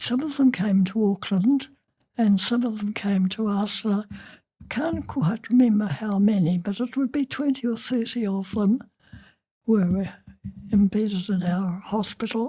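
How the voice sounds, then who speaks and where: At a fairly slow pace, a woman speaks with a dark, mellow, somewhat breathy tone and ordinary pitch variation. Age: 80s+. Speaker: retired nurse. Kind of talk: interview answer.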